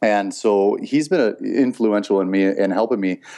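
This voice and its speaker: A man with a Canadian accent, fairly low pitch, a dark, mellow tone and ordinary pitch variation, against a quiet background. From Saskatchewan, Canada. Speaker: public speaking coach. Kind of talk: interview. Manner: halting, many fillers.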